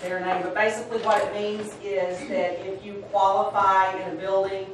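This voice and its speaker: A woman's voice comes through with strong room echo and light background noise. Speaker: school administrator reporting to board. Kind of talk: meeting report. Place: meeting room. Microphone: camera far.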